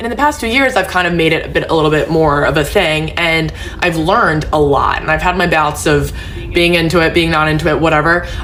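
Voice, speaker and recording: A woman with a fairly low voice talks at a fairly quick pace. Audible room echo and noticeable background noise surround her. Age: 20s. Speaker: social media creator. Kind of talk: personal vlog monologue. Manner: casual, filler-heavy.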